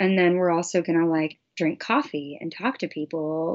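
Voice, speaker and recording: Ordinary pitch variation at a fairly slow pace. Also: woman. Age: 20s. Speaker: singer. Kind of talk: casual chat. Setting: video call. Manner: animated.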